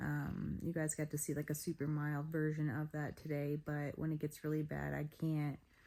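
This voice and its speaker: A woman speaks in a very deep, low voice with a dark, mellow tone, her intonation flat and monotone. Her pace is moderate, with hardly any pauses. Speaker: chronic illness vlogger. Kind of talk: casual talk to camera. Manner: hesitant, many fillers.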